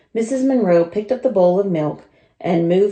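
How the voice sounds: Simply a natural reading voice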